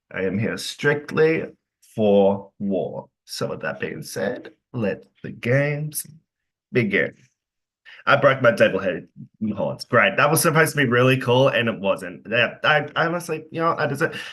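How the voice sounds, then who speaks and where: Speaking at a moderate pace with an Australian accent, a man with a fairly high pitch uses a bright, sharp tone, lively intonation and some vocal fry. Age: 20s. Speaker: online game player. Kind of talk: casual introduction in online group game.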